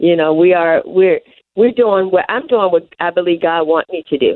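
A woman speaks at a fairly low pitch, the sound dry and close with no echo.

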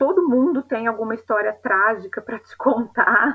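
Speaking at a fairly slow pace, a woman has a fairly high pitch, ordinary pitch variation and a bright, sharp tone. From São Paulo state countryside, Brazil. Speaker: mother sharing birth story. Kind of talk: personal testimony. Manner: halting.

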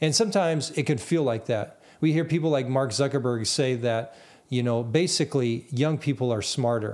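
In a very clean recording with a silent background, a man with a normal speaking voice talks at a moderate pace, his medium pitch showing ordinary pitch variation and his loudness very even. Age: 40s. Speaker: podcast host. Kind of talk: solo monologue. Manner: repetitive false starts.

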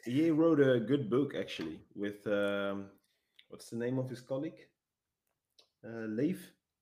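A man speaks at a medium pitch with a dark, mellow tone and a Dutch accent. His loudness swings widely, his intonation is lively, and he leaves long, frequent pauses. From Netherlands. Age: 30s. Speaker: police dog handler. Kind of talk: interview.

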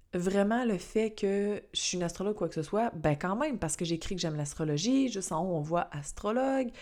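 A woman with a Quebec accent, medium-pitched, at a moderate pace, with lively intonation and a dark, mellow tone, on a very clean recording with a silent background. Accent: Québécois French. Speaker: astrologer and podcast host. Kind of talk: casual solo podcast talk; scripted intro narration.

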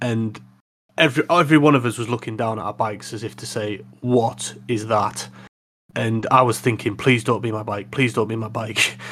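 Speaking with a Yorkshire accent, a man keeps a medium pitch, a moderate pace and fairly even intonation. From Yorkshire, northern England. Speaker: motorcycle podcast co-host. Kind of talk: casual chat.

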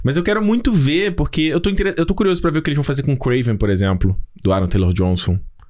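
Pitch swings very widely as the words come out at a very fast pace. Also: man, fairly high pitch for a man. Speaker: film podcast host. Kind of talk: casual chat.

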